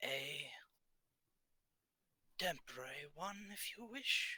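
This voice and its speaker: A man speaks in a put-on character voice with lively intonation. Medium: actual play. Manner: cryptic, measured.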